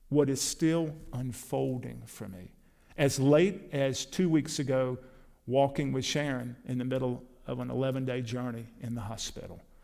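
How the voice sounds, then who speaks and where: At a moderate pace, a man with a medium pitch and a dark, mellow tone shows ordinary pitch variation and big swings in loudness, with audible room echo. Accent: American. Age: 60s. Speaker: preacher. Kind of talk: sermon.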